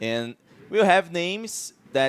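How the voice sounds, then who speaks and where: A man talks at a very slow pace with a Portuguese accent. The sound is dry and close with no echo, with noticeable background noise. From Brazil. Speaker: esports commentator. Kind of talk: live commentary. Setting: live event stream. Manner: halting.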